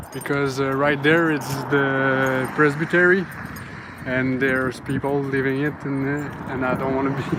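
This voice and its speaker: Over noticeable background noise, the speaker talks at a fairly slow pace in a Quebec accent. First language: French. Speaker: ghost hunting vlogger. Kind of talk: casual vlog narration while walking. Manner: halting, many fillers.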